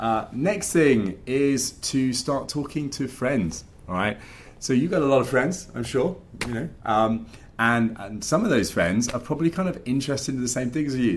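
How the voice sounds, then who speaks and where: Lively intonation from a man at a medium pitch and a moderate pace. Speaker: finance podcast host and coach. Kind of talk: casual talk to camera. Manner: animated.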